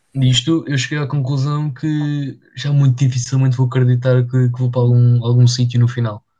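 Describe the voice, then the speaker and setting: Speaking in a medium pitch at a moderate pace, a man has a dark, mellow tone that is somewhat breathy, with monotone, flat intonation. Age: 20s. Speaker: podcast co-host. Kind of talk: casual chat.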